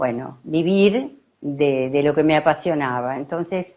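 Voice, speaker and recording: With a very deep, low pitch, a woman talks at a very slow pace. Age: 70s. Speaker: psychologist and theatre artist. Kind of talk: interview. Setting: live stream.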